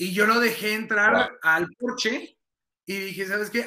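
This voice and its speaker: In a raised, projected voice with a bright, sharp tone, a man speaks at a high pitch and a moderate pace. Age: 30s. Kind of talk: casual interview about faith.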